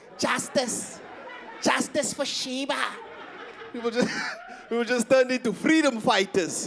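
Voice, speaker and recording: Over crowd noise in the background, the speaker goes at a fairly slow pace with long, frequent pauses. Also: man, extremely high pitch for a man, ordinary pitch variation. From South Africa, Eastern Cape. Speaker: stand-up comedian. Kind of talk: stand-up. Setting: stage with audience. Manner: animated.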